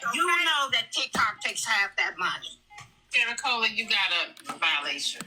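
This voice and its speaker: Over music in the background, a woman talks at a moderate pace and very even loudness, her high pitch moving in very wide swings. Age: 60s. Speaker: online creator with a doctorate. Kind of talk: heated debate. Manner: emphatic.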